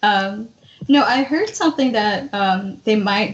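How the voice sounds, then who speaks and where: Fairly slow delivery from a woman, an unremarkable speaking voice at medium pitch with ordinary pitch variation. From Mexico, Hidalgo; raised in US from age six. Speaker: DACA recipient, podcast guest. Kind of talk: casual chat.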